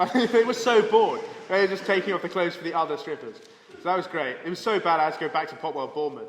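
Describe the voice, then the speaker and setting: A man with an English accent speaks very fast in a high voice, with an animated tone. His pitch varies an ordinary amount, and background noise is noticeable. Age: 20s. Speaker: comedian. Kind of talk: casual chat.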